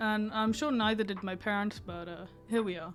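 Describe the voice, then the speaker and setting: With music playing in the background, a woman talks at a very fast pace in a fairly high pitch. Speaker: furry artist. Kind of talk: casual storytime talk to camera.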